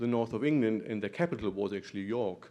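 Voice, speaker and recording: A man with a slight German accent talks at a medium pitch. The background is quiet. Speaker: professor, muscular dystrophy doctor. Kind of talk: conference talk. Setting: conference room with audience.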